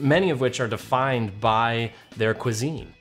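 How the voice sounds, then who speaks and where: A man speaks at a medium pitch with ordinary pitch variation while music plays in the background. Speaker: travel and food show host. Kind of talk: travel show voiceover narration. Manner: polished, upbeat.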